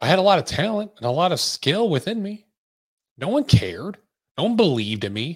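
A man talks at a fairly quick pace in an intense tone, his high pitch swinging very widely. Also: very clean recording, silent background. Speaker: podcast host and business coach. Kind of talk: motivational pep talk. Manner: intense, emphatic, urgent, driving, blunt; direct, repetitive, hammering key points, profane.

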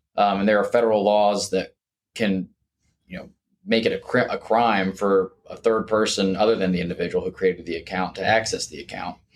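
Speaking fairly quickly with an American accent, this voice keeps a flat, monotone intonation while its loudness swings widely. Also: man, fairly low pitch for a man. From Jacksonville, Florida. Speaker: estate planning attorney. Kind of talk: interview.

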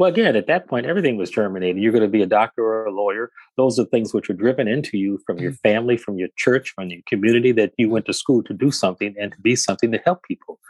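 Speaking very fast with an American accent, a man uses ordinary pitch variation. The sound is dry and close with no echo, against a quiet background. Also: medium pitch for a man, hardly any pauses. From Detroit, Michigan. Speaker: physician. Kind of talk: interview. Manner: halting.

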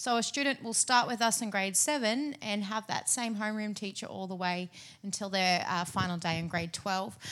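At a moderate pace, a woman uses a normal speaking voice at a medium pitch on a very clean recording with a silent background. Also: ordinary pitch variation. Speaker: school wellbeing director.

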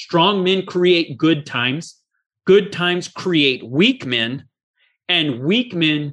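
A man's bright, sharp voice, fairly high in pitch, with ordinary pitch variation. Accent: American. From US, Oregon-Idaho border. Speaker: podcast host and attorney. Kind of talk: interview.

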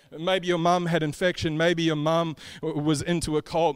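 A man with an Australian accent speaks at a fairly quick pace in a fairly high pitch for a man, his intonation fairly even, on a very clean recording with a silent background. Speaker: preacher. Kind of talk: sermon.

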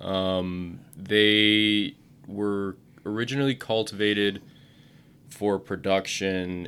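In a very clean recording with a silent background, a man with an Upper Midwest accent speaks in a fairly low, flat monotone. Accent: Upper Midwest American. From central Wisconsin. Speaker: agricultural PR manager. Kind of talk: interview. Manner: hesitant, many fillers.

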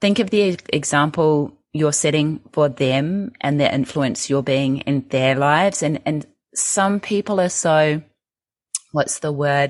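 With an Australian accent, a woman speaks at a very deep, low pitch with ordinary pitch variation. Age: 40s. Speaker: health coach and author. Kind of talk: casual interview. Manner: animated.

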